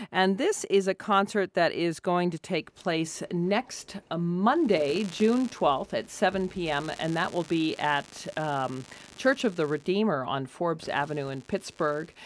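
A woman with an ordinary speaking voice speaks fairly slowly at a fairly low pitch with lively intonation. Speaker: radio host. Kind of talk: radio interview chat. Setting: radio studio.

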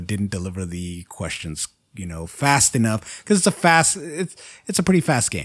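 Speaking at a moderate pace, this man is captured on a very clean recording with a silent background. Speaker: podcast host and editor. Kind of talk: casual chat.

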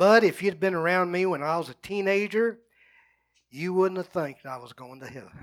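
Loudness rises and falls sharply in this voice with a rural Texas accent, captured on a very clean recording with a silent background. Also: man, high pitch for a man, ordinary pitch variation, moderate pace. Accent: rural Texas Southern US. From US South, North Central Texas. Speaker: pastor. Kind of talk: sermon.

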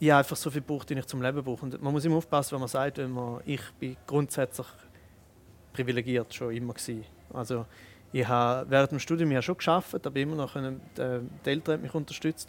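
A man speaks at a fairly quick pace with fairly even intonation in a normal speaking voice. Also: medium pitch for a man. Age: 30s. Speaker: comedian and spoken-word artist. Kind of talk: casual interview. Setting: restaurant.

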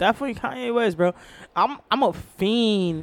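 A woman with an ordinary speaking voice talks at a moderate pace using lively intonation. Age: 30s. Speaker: podcast host. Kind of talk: casual chat.

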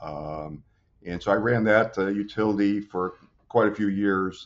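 His pitch moves with ordinary variation. He is a man speaking in an American accent. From Southern California (Long Beach). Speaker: utility general manager. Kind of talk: interview. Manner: hesitant, many fillers.

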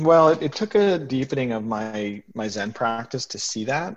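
Speaking at a moderate pace, a man with an unremarkable speaking voice shows ordinary pitch variation. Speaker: retired tech CEO, hospice volunteer. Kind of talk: casual interview.

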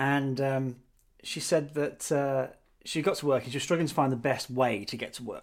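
A man speaks with a British accent and fairly even intonation. His loudness swings a lot. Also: moderate pace. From Britain. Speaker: podcast co-host, marketing professional. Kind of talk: casual chat. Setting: recording from home.

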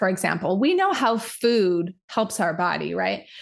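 Against a quiet background, a woman with an American accent talks at a fairly slow pace and fairly high pitch in a plain, everyday voice. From Utah. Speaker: hormone nutritionist. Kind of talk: casual chat.

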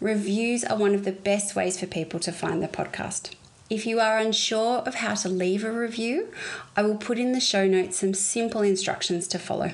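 Medium pitch from a woman with an Australian accent, a moderate pace, and ordinary pitch variation. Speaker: podcast host and interior designer. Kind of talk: interview; scripted intro and outro.

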